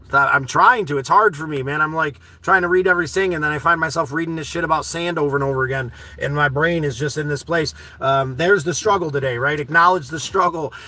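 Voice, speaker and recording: With noticeable background noise behind him, a man with a fairly high voice talks very fast in an animated tone, his pitch varying in an ordinary way. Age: 40s. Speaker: live streamer reading chat. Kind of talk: casual live stream chat. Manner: loud.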